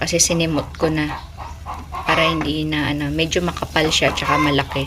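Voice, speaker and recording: Noticeable background noise is present throughout. A woman talks at a moderate pace amid audible room echo. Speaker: vlogger. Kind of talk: cooking vlog. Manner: casual, conversational.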